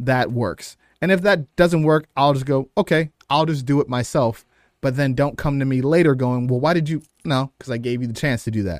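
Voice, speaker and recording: Recorded very cleanly against a silent background with a dry, close sound and no echo, a man with an American accent talks at a moderate pace in a fairly high voice, his intonation lively and his loudness swinging widely. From US Midwest, East Side Cleveland, Ohio. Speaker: professional wrestler. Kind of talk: casual interview chat. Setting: studio. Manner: halting, frequent word repetitions.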